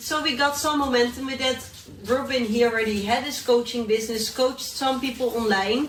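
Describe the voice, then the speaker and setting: A fairly quick, fairly high-pitched woman's voice with a Dutch accent and ordinary pitch variation, amid noticeable background noise and audible room echo. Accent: Dutch accent, lasting. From Netherlands. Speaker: entrepreneur and YouTuber. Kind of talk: podcast interview.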